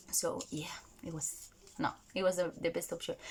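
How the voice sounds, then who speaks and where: With a Spanish accent, a woman talks at a moderate pace. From Spain. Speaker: vlogger. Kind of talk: casual vlog talk. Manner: animated.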